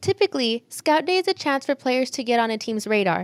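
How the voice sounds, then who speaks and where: Speaking at a fairly quick pace, a woman with a high voice makes very wide pitch swings on a very clean recording with a silent background. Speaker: news anchor and reporter. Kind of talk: news report voice-over.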